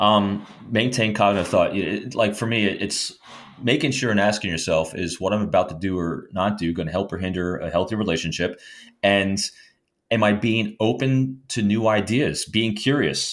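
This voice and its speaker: With an ordinary speaking voice, a man speaks at a fairly low pitch and moderate pace with ordinary pitch variation on a very clean recording with a silent background. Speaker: retired FBI agent and author. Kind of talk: casual interview chat.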